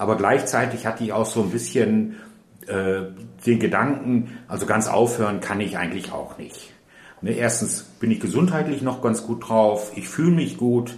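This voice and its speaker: Audible room echo surrounds a man with a northern German accent. He speaks at a fairly slow pace with medium pitch and ordinary pitch variation. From Ruhr area, Germany. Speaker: retired nurse. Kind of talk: interview.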